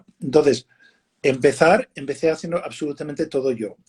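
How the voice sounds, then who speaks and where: A man's fairly high-pitched voice with a dark, mellow tone and fairly even intonation. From United States. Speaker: winemaker. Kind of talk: casual interview on a live stream. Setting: live video stream. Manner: halting, many fillers and repeats.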